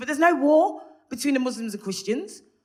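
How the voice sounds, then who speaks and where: Speaking with a Birmingham accent, a woman sounds animated at a fairly quick pace, her pitch swinging very widely amid audible room echo. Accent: Birmingham (Brummie) English. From Birmingham, England (Handsworth). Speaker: stand-up comedian. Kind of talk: stand-up. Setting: stage with audience.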